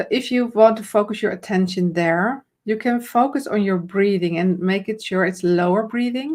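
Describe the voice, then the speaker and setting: Speaking at a fairly slow pace, a woman talks with a Dutch accent. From Netherlands. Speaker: camera confidence coach. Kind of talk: live stream conversation. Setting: live video stream.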